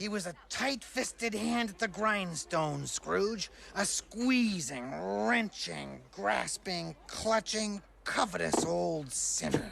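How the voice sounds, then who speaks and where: Over clear background noise, a put-on character voice at a middle pitch moves at a very slow pace. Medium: short film. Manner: earnest, theatrical.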